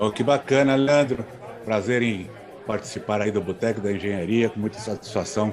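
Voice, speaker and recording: Against crowd noise and audible room echo, a man with a fairly low voice speaks at a moderate pace with fairly even intonation. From São Paulo city, Brazil. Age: 60s. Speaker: agronomist. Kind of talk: podcast interview.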